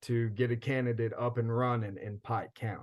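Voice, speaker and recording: A man at a moderate pace. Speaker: field organizer. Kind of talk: lecture. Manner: animated.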